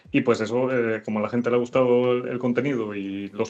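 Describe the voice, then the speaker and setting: A man's voice over noticeable background noise. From Venezuela. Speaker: programmer and content creator. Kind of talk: interview. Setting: live stream. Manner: halting.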